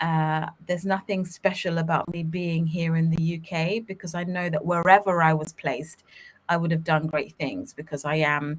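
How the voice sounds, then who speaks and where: Pitched fairly low, a woman talks with a British accent. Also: moderate pace. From England, London (Ugandan-born). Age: 30s. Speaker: children's media company co-founder. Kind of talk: podcast interview. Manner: animated.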